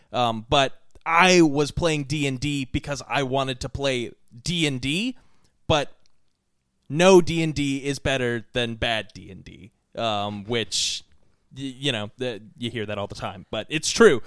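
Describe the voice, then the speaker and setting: A man speaks at a medium pitch and a fairly slow pace, with ordinary pitch variation and big swings in loudness. Long pauses come often, and the recording is very clean with a silent background. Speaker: podcast host. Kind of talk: casual chat.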